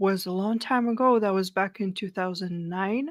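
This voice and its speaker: A bright, sharp tone with an American accent and ordinary pitch variation, in a very clean recording with a silent background. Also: woman. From Russia. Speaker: political podcaster. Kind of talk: podcast interview.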